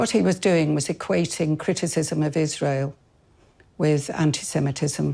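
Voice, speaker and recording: The voice has a dark, mellow tone and vocal fry, moving at a fairly slow pace. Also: woman. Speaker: political party member. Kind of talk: interview answer.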